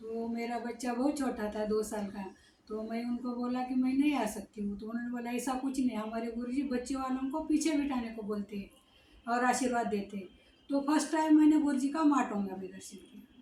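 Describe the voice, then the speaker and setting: At a moderate pace, the voice shows ordinary pitch variation and big swings in loudness over noticeable background noise. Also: woman, high pitch for a woman. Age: 60s. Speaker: devotee. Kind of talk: testimony. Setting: ashram. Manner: halting.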